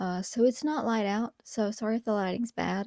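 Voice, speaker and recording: This woman has a dark, mellow tone and a fairly quick pace, with fairly even intonation. The sound is dry and close with no echo, on a very clean recording with a silent background. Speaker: video essayist, youtuber. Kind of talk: casual video commentary. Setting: home recording at night. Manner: whispering.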